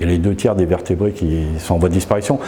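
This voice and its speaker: The man's tone is dark and mellow. He keeps a fairly quick pace. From France, Isère (Grande Chartreuse, near Grenoble). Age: 60s. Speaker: painter and graphic artist. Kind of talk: interview. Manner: hesitant, many fillers.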